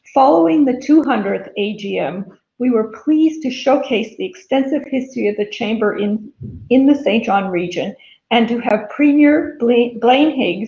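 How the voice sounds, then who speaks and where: The speech moves at a fairly slow pace. Room echo is audible over a quiet background. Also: woman. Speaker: chamber chair giving report. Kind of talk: formal report speech. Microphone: webcam.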